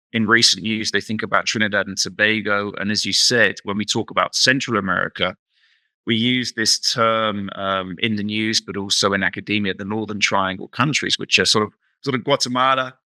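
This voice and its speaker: A man with a British accent at a fairly low pitch and a fairly quick pace, fairly even intonation, dry, close sound with no echo, and a very clean recording with a silent background. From England, London. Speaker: researcher. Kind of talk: interview. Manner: hesitant, repeats words.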